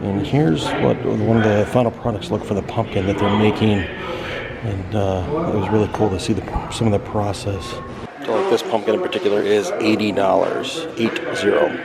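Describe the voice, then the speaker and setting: A man with an American accent speaks at a fairly low pitch with ordinary pitch variation. Noticeable background noise and audible room echo surround him. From Missouri (St. Louis). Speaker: travel vlogger. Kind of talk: casual vlog narration.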